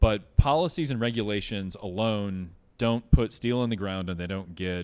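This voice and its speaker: Recorded very cleanly with a silent background, a man with an ordinary speaking voice talks at a moderate pace, fairly low in pitch, with ordinary pitch variation and big swings in loudness. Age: 40s. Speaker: CEO of a solar energy company. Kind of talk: onstage interview. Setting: stage with live audience.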